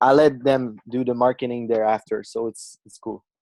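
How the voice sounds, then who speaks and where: In a Quebec accent, a man with a dark, mellow tone speaks at medium pitch and a moderate pace, with fairly even intonation and a dry, close sound with no echo. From Quebec, Canada. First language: French. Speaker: marketer and author. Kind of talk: interview.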